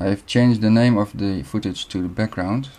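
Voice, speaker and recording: In a Dutch accent, this dark, mellow voice moves at a moderate pace with ordinary pitch variation. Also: man. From Netherlands. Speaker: video editing tutorial maker. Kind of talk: tutorial. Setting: screen recording.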